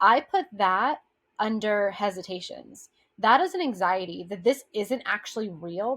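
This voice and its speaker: A woman with a fairly high pitch speaks with very wide pitch swings. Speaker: brand strategist. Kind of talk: tutorial. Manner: fast.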